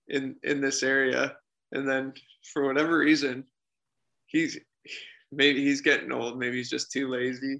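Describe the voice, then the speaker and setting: A man with a Canadian accent, medium in pitch, bright and sharp in tone, with monotone, flat intonation at a fairly slow pace. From small-town Ontario, Canada. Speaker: para ice hockey player. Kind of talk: interview. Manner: halting, many fillers.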